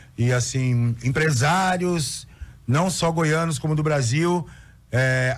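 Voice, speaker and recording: Here a man speaks with ordinary pitch variation. His voice is somewhat breathy. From São Paulo, Brazil. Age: 50s. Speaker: cultural producer. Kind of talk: radio interview. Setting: radio studio. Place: studio. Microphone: studio mic.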